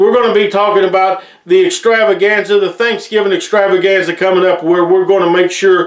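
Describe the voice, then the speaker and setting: This man has a high pitch and fairly even intonation, with an American accent. There is audible room echo. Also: very even loudness. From Appalachia, Tennessee/Virginia region. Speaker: wrestling show host. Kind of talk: promotional show hosting, announcements. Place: studio.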